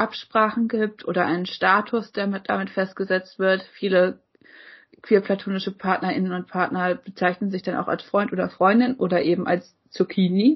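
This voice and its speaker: A woman speaks at a moderate pace in a medium pitch, somewhat breathy and with fairly even intonation. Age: 20s. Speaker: podcast co-host. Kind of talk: casual chat.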